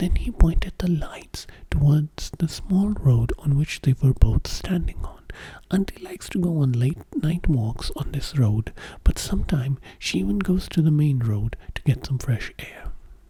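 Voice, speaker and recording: Soft-spoken and whispering, the voice has a gentle tone and moves at a fairly slow pace. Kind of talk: story narration with character dialogue. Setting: studio, close-mic ASMR. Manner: whispering, soft-spoken, gentle.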